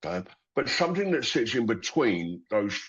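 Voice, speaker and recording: The speaker is a man with a London accent. His voice sits at a medium pitch. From London, England. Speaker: company founder. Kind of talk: interview. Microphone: connection cut out.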